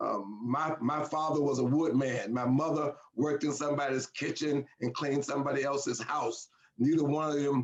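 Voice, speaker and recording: In an American accent, a man with a normal speaking voice and fairly high pitch talks at a moderate pace. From US South, Alabama. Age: 60s. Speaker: leadership trainer and company founder. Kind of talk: interview.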